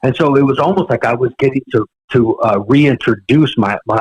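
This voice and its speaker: At a moderate pace, a man talks at a medium pitch with ordinary pitch variation, somewhat breathy, in a dry, close sound with no echo. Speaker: drummer and drum teacher. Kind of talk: casual chat. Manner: halting, many repeated words.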